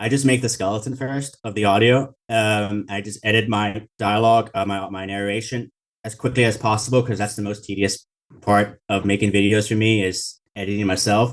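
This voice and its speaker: Against a quiet background, a man talks at a moderate pace in a fairly low voice with monotone, flat intonation. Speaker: YouTube video creator. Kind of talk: interview. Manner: rambling and frenetic.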